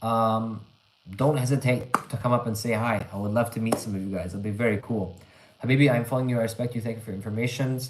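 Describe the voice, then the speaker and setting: A man with a Canadian accent talks very fast at a medium pitch, his intonation fairly even. Audible room echo and noticeable background noise surround him. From Canada. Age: 20s. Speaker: English teacher, livestreamer. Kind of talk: live stream chat reading comments. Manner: casual, conversational with fillers.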